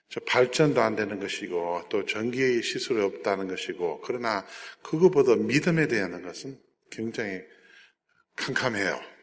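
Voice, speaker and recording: Here a man speaks at a fairly slow pace. He talks with a Jeolla accent. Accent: Jeolla dialect Korean. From South Korea, Jeolla region (American missionary family). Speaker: missionary and aid organization director. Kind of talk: church talk with slide presentation.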